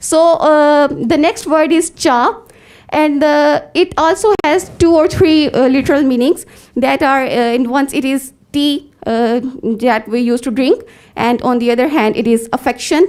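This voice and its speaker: A woman with a high pitch and a Pakistani accent, lively intonation, very even loudness and a fairly slow pace. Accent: Pakistani English (Punjabi). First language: Punjabi. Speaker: conference presenter, researcher. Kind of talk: academic paper presentation. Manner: halting, many fillers.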